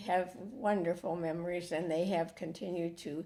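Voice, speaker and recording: At a very slow pace, a woman speaks with vocal fry, a fairly low pitch and a dark, mellow tone. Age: old. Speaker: church member. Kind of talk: casual chat. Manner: halting.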